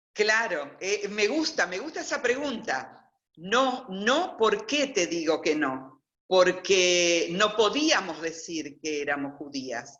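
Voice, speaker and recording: Speech unfolds at a very slow pace. Its pitch moves across a very wide range. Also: woman, medium pitch for a woman. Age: 60s. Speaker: interviewee, former convent student. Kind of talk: personal testimony. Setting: video call.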